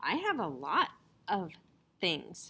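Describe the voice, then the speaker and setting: This is a woman at a medium pitch. She uses a put-on character voice. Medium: read story.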